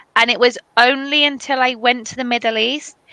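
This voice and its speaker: The tone is bright and sharp, with a British accent and fairly even intonation. The pace is fairly slow, and the sound is dry and close with no echo. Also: woman. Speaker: English teacher. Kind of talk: casual online conversation.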